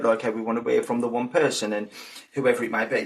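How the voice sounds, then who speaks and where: A man talks at a very fast pace and a medium pitch. His intonation is monotone and flat, with noticeable background noise. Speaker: psychic medium. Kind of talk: interview conversation. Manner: fast-paced when giving readings.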